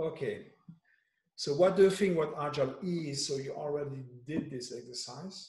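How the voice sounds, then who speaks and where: The voice is somewhat breathy with ordinary pitch variation, set against a quiet background with audible room echo. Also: man. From France. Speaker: agile coach. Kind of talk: workshop facilitation. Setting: video call. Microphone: video call.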